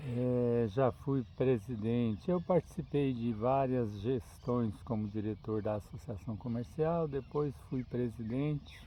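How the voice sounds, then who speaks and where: A man talks at a medium pitch with ordinary pitch variation. His pace is very slow, with hardly any pauses. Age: 70s. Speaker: retired businessman. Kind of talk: open letter address.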